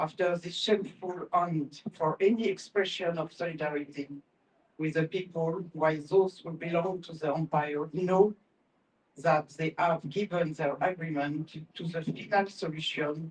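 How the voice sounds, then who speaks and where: In a French accent, a woman speaks at a fairly slow pace and a fairly low pitch. Her intonation stays fairly even while her loudness swings widely. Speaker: professor. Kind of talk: reading aloud; panel talk. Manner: halting.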